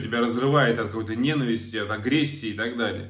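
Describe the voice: A man talks at a fairly quick pace in a medium pitch, with ordinary pitch variation.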